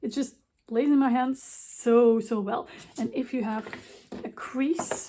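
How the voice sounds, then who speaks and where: A woman with a non-native accent speaks at a very slow pace with long, frequent pauses, her high pitch showing ordinary variation and her tone dark and mellow. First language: not English. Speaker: craft designer. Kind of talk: tutorial. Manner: casual.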